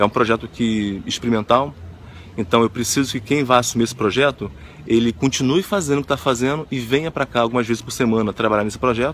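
A man's medium-pitched voice, very fast pace, ordinary pitch variation. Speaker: motivational video host. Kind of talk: motivational monologue.

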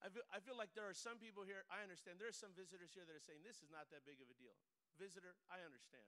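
A man speaks very fast in a raised, projected voice, his tone animated, bright and sharp, his pitch high with ordinary variation, and his loudness swinging widely. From Mexican heritage. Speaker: pastor. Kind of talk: sermon. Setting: church.

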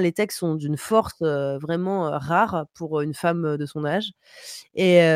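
This woman talks at a very slow pace. Each word comes out slowly. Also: dry, close sound with no echo. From Paris. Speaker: streamer. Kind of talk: music review segment; casual chat. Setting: home streaming setup.

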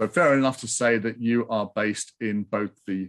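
This man has an unremarkable speaking voice, medium in pitch, with fairly even intonation at a moderate pace. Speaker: podcast host. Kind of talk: interview conversation.

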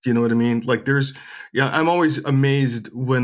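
With fairly even intonation, a man speaks in a medium pitch. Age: 50s. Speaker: actor. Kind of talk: interview. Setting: video call.

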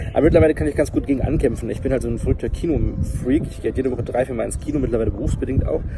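A man races along at a very fast pace, hardly pausing, with noticeable background noise behind him. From Germany, Harz region. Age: 20s. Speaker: YouTuber and presenter. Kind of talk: interview, personal testimony about depression.

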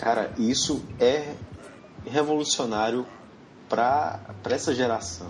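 In a room with audible echo and noticeable background noise, a man at medium pitch speaks very slowly, with ordinary pitch variation and long, frequent pauses. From Brazil, Ceará. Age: 20s. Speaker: podcast host. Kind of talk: casual chat.

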